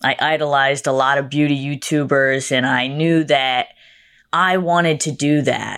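In a Massachusetts accent, the speaker talks with monotone, flat intonation at a moderate pace on a very clean recording with a silent background. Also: woman, very deep, low pitch for a woman. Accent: iconic Massachusetts. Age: 20s. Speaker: makeup artist and social media creator. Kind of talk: casual interview chat.

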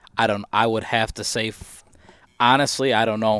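A man speaks fairly quickly with an American accent, in a normal speaking voice. His pitch sits at a medium level. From Michigan. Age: 30s. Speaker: deer hunter. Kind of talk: casual chat. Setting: studio.

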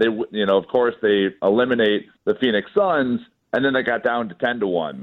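With an American accent, a man has an ordinary speaking voice at medium pitch. He talks at a moderate pace with lively intonation. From Chicago. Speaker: sports betting app founder. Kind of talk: casual chat.

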